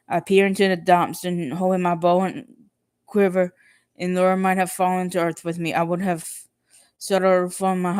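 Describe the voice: Plain reading aloud takes place over a quiet background.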